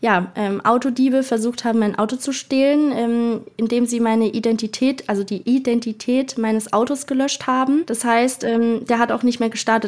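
A woman with an ordinary speaking voice talks at a moderate pace and fairly high pitch, her intonation fairly even, in a very clean recording with a silent background. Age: 20s. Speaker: travel influencer. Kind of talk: interview.

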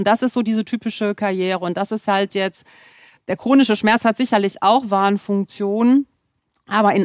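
The voice is an ordinary speaking voice with fairly even intonation, heard dry and close with no echo in a very clean recording with a silent background. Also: woman. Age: 50s. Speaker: pain medicine physician. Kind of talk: expert interview.

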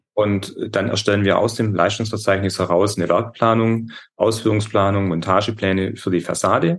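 An ordinary speaking voice from a man, fairly low in pitch, with fairly even intonation, a moderate pace, and very even loudness. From Upper Swabia, southern Germany. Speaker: metal and glass construction business owner. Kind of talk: interview.

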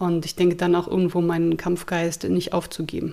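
Here a woman talks at a very fast pace. Her pitch is fairly low and her intonation stays flat and monotone. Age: 30s. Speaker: therapist, abuse survivor. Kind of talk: interview testimony.

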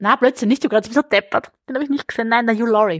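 This woman's fairly high voice has ordinary pitch variation and is heard in a dry, close sound with no echo. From southern Burgenland, Austria. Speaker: crime novelist. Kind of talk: casual interview. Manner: fast, talkative.

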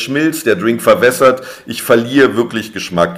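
A man speaks with ordinary pitch variation. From Berlin, Germany. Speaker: drinks brand ambassador, former bartender. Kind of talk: interview.

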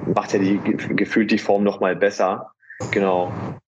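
Music plays behind a man talking. His pitch sits fairly low. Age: 20s. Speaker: natural bodybuilder. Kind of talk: casual chat.

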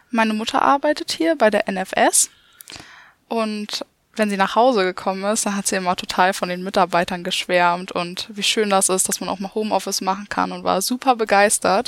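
The voice is an unremarkable speaking voice belonging to a woman, medium in pitch with ordinary pitch variation. Her sound is dry and close, with no echo. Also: moderate pace. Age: young. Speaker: insurance apprentice. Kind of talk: podcast co-moderation.

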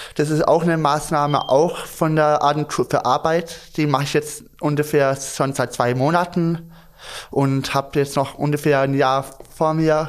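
A man's normal speaking voice at a fairly slow pace. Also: very clean recording, silent background. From Stuttgart. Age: young. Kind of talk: casual chat.

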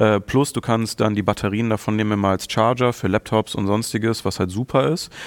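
A man talks in a normal speaking voice at a fairly quick pace, with hardly any pauses. The sound is dry and close with no echo, and the recording is very clean with a silent background. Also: fairly low pitch for a man, ordinary pitch variation. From Germany, Mönchengladbach (Lower Rhine). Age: 30s. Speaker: content creator guest. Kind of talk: casual chat.

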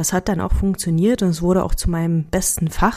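A woman with a slight Berlin accent speaks at a moderate pace. Her voice sits at a fairly low pitch. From Hungary and Berlin area. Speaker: team coach and podcast host. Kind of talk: scripted monologue.

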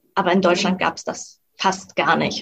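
The woman's voice is somewhat breathy. She talks at a moderate pace. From Mecklenburg-Western Pomerania, Germany. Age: 20s. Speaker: freelance copywriter and blogger. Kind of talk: interview.

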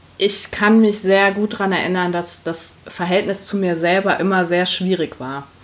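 At a medium pitch and a moderate pace, a woman speaks with fairly even intonation and hardly any pauses amid noticeable background noise. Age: 30s. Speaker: HR professional and coach. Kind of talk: interview.

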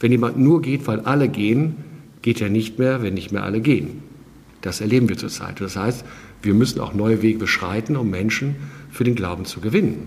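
With audible room echo and noticeable background noise, a man at a medium pitch speaks at a moderate pace with lively intonation. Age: 50s. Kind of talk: interview.

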